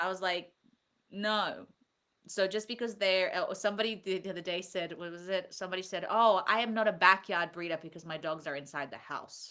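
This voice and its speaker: A woman speaks at a fairly quick pace in a medium pitch, her tone bright and sharp. Her loudness swings widely on a very clean recording with a silent background. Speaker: podcast host. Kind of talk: casual chat. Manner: animated.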